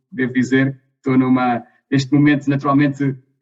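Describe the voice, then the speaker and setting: A man's fairly quick speech in a European Portuguese accent. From Portugal. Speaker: energy company executive. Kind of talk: interview. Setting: video call.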